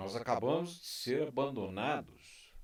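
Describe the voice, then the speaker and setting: A man talks with lively intonation. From Brazil. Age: 60s. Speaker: YouTube commentator. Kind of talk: opinion monologue. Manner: impassioned.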